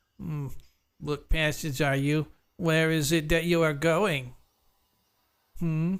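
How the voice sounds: A man uses a put-on character voice, nasal and fairly high in pitch. He talks at a fairly slow pace with long, frequent pauses.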